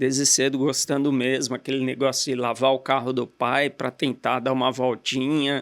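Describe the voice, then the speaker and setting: A man talks at a moderate pace in a medium pitch, monotone and flat, with hardly any pauses and very even loudness. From Brazil, Guarulhos (São Paulo area). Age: 50s. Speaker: entrepreneur, car dealer. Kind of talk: interview.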